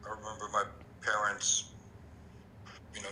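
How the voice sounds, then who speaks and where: A man speaks with a French accent. Noticeable background noise can be heard. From France. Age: 50s. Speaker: interviewee. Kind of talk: interview. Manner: halting, frequent repetitions.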